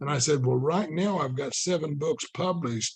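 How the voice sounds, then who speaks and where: Moderate pace and ordinary pitch variation in a man's somewhat breathy, fairly high voice. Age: 60s. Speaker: author. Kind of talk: casual interview conversation.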